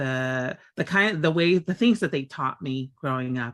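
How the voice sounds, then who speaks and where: This woman's pitch sits very deep and low, with lively intonation. She speaks with an American accent. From Tonga, then California from age 13. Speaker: community advocate and organizer. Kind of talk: interview conversation. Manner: hesitant, many fillers.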